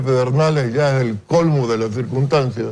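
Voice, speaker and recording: Ordinary pitch variation and a dark, mellow tone mark this man's somewhat breathy voice. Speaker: political analyst. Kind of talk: TV news interview. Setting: TV studio.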